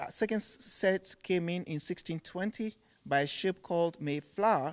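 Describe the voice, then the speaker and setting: This man speaks fairly slowly in a Ghanaian accent, his voice pitched high for a man. His pitch varies in an ordinary way. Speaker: furniture maker. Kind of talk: TV interview. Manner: repeats words, halting starts.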